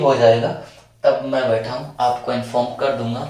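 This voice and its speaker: A man at a medium pitch, with audible room echo and noticeable background noise. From Rajasthan, India. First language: Marwari (speaking Hindi). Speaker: online exam-prep teacher. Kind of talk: video lecture. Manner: casual, chatty.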